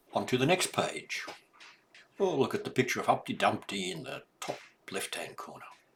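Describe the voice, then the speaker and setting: A man whispers in a warm, gentle tone. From Australia. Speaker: grandfather reading children's books. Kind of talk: children's read-aloud with explanations. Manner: warm, gentle, slow.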